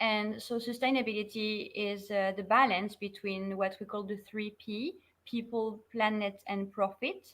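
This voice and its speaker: Speaking at a fairly slow pace with a French accent, a woman keeps a fairly high pitch and fairly even intonation. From France. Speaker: sustainability consultant. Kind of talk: online interview.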